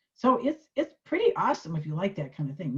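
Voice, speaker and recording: Fairly low in pitch, a woman talks at a fairly quick pace with an animated tone and very wide pitch swings. Her voice is somewhat breathy. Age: 70s. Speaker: social media tutor. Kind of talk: tutorial.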